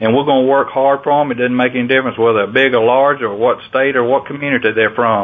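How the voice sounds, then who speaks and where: A man's medium-pitched voice with a Southern US accent, very even loudness and hardly any pauses, over noticeable background noise. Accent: Southern US (Georgia). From US South, Georgia. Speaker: farm organization president and farmer. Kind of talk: interview.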